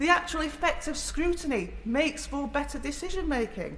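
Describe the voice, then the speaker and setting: With noticeable noise in the background, a woman speaks at a fairly slow pace. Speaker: member of parliament. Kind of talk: parliamentary debate speech. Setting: parliament chamber.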